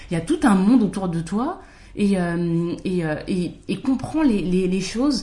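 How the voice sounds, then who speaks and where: Speaking very slowly, the voice has a dark, mellow tone, is somewhat breathy, and has lively intonation. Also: woman, medium pitch for a woman. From France, Paris region (Val-d'Oise). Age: 30s. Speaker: podcast guest sharing mixed-race experience. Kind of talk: casual chat.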